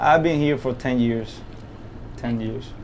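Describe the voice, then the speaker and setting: Audible room echo surrounds a man's voice. He talks at medium pitch and a moderate pace. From Cuba. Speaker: tugboat driver. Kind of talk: casual interview. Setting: inside a tugboat.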